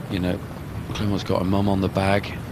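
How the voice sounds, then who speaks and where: A Bristolian accent in monotone, flat intonation, with audible room echo and noticeable background noise. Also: man. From England, Bristol. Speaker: golf commentator. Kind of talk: live commentary.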